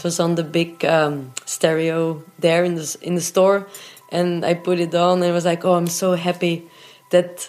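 In a non-native accent, a woman speaks at a moderate pace with a fairly low pitch. Her intonation is flat and monotone. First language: not English. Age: 30s. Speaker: rock drummer and singer. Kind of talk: interview, personal storytelling. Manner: hesitant, frequent fillers.

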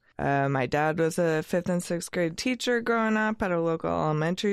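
A woman with an American accent and a plain, everyday voice speaks at a fairly low pitch over a quiet background. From US Northwest, Oregon (Eugene). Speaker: freelance graphic designer. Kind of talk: casual chat.

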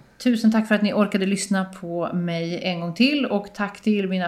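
A woman with a normal speaking voice, medium pitch and ordinary pitch variation. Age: 40s. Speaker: podcast host. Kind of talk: casual interview chat. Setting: small apartment home studio.

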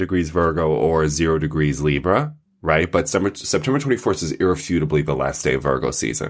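A man talks at a very fast pace with hardly any pauses. His pitch swings very widely, and vocal fry comes through. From Long Island, New York. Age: 30s. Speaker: astrologer. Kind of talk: casual chat. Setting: video call.

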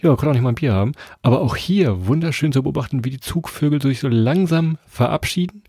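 Speaking at a fairly quick pace with lively intonation, a man has a fairly high pitch and a somewhat breathy, dark, mellow tone. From Lower Saxony, Germany. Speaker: travel podcast host. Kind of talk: casual chat.

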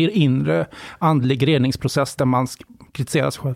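A man speaks at medium pitch with ordinary pitch variation. His sound is dry and close, without echo. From western Sweden, Borås area. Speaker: journalist and author. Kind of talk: interview conversation.

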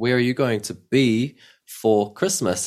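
A man in a New Zealand accent at a fairly slow pace, on a very clean recording with a silent background. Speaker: language teacher. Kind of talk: language lesson. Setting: at home.

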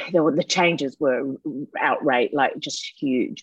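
The speaker has an Australian accent and a fairly slow pace. The sound is dry and close, with no echo. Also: woman. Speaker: actress. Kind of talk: interview.

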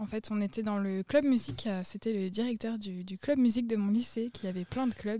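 A woman speaks in a fairly high pitch with a dark, mellow tone. Her voice is somewhat breathy, and she takes hardly any pauses. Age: 20s. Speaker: podcast guest. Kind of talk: casual chat. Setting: outdoors, garden table.

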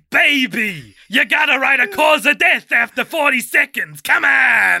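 Putting on a character voice at an extremely high pitch, a man talks at a fairly slow pace. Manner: playful, impatient, demanding.

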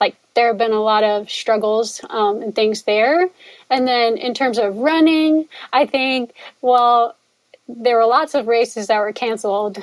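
A woman with an American accent uses a normal speaking voice, fairly high in pitch, with ordinary pitch variation. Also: fairly slow pace. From US Northeast, northwest New Jersey. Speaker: philosophy professor and ultrarunner. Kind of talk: casual interview conversation.

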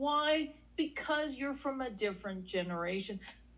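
A woman speaks high, bright and sharp, with very wide pitch swings. Audible room echo surrounds her voice. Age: 40s. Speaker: relationship podcast co-host. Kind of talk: casual chat. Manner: animated.

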